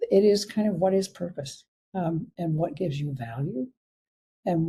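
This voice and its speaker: A woman talks at a moderate pace in a fairly low pitch, her dark, mellow tone somewhat breathy. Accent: Canadian. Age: 80s+. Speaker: physician. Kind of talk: interview. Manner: halting.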